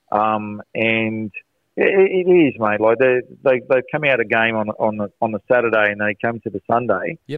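Speaking at a moderate pace with an Australian accent, a man uses a medium pitch and ordinary pitch variation. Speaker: soccer coach. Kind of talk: casual radio interview. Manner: loud.

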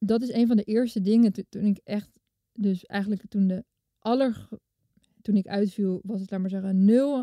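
Dry, close sound with no echo, carrying a woman's dark, mellow tone at medium pitch, moderate pace and fairly even intonation. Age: 30s. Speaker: television maker. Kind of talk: personal testimony interview.

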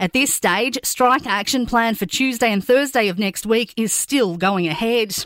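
Someone speaks with an Australian accent at a moderate pace and ordinary pitch variation. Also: woman. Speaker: news presenter. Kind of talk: news bulletin reading. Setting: studio. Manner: brisk, clear, even-toned.

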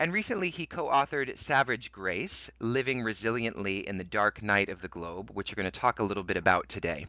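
A man's plain, everyday voice, fairly low in pitch, with lively intonation and hardly any pauses. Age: 30s. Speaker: podcast host. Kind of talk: interview; reading an introduction.

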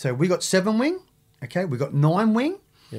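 The recording is very clean, with a silent background. A man speaks in a strong Australian accent, somewhat breathy. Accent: broad Australian. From Sydney, Australia (Maroubra). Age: 50s. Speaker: former surfer and ex-prisoner, youth mentor. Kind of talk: casual interview chat. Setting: studio.

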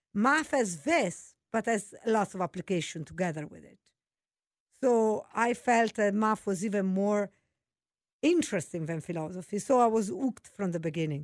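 A woman with an Italian accent speaks at a moderate pace and medium pitch, her intonation lively and her loudness swinging widely. The sound is dry and close with no echo, in a very clean recording with a silent background. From Italy. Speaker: mathematics professor. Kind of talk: casual interview.

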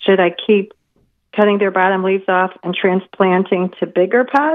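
A woman with an American accent speaks at a fairly slow pace in a medium pitch. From Arkansas. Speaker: caller. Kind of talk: call-in question. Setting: phone call.

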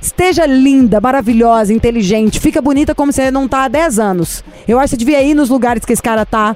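Very fast, animated speech with hardly any pauses, very even loudness and ordinary pitch variation over noticeable background noise. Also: woman, high pitch for a woman. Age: 30s. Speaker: radio host. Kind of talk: casual chat. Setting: studio.

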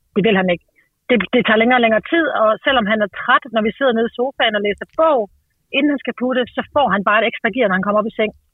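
Her pitch is fairly high for a woman. She talks at a very fast pace. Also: ordinary pitch variation. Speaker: parent seeking advice on child's sleep. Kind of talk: casual conversation about personal problem. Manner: hesitant, many filler sounds; energetic and humorous.

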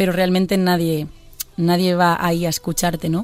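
This is a woman speaking. Her pitch is fairly low. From Galicia, Pontevedra. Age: 20s. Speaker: singer. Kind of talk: interview. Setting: studio. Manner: halting.

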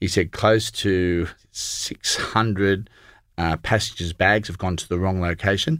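The recording is very clean with a silent background, and a man with a very deep, low voice speaks at a fairly slow pace with ordinary pitch variation. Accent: Australian. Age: 40s. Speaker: accountant and entrepreneur. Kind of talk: interview.

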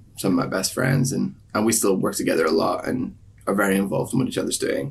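A man with vocal fry, at a fairly quick pace. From Ireland. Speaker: singer-songwriter. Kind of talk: interview.

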